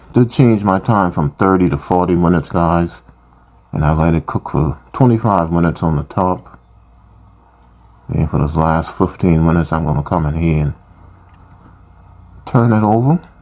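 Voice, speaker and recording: Noticeable background noise behind a man's very deep, low voice, at a moderate pace with ordinary pitch variation and long, frequent pauses. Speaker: cooking channel host. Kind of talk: tutorial. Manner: casual.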